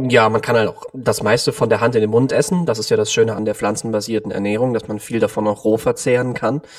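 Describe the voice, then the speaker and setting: At a very fast pace with hardly any pauses, a man talks at a medium pitch with fairly even intonation. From Cologne, Germany. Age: 20s. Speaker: vegan nutrition consultant. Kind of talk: interview.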